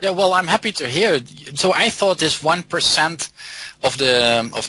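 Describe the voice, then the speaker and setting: A man with lively intonation, against noticeable background noise. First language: not English or German. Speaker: software developer and theoretical biologist. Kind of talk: interview.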